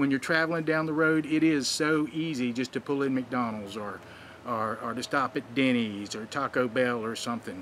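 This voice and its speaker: A man at medium pitch with ordinary variation and a moderate pace, over noticeable background noise. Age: 60s. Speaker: wrestling advice vlogger. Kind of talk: vlog commentary. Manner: casual, conversational with fillers.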